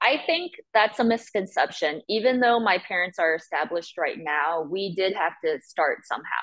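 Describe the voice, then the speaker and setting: Lively intonation marks this woman's medium-pitched delivery at a moderate pace. It is a normal speaking voice. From US (emigrated from Chongqing, China at age six). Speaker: film editor. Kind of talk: interview.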